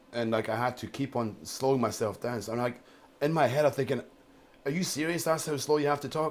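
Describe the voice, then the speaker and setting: A man with a strong Scottish accent talks at a fairly quick pace, his medium pitch showing ordinary variation. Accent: thick Scottish. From Scotland, Dunfermline (Fife). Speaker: jiu-jitsu coach. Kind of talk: casual podcast interview. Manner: fast; animated.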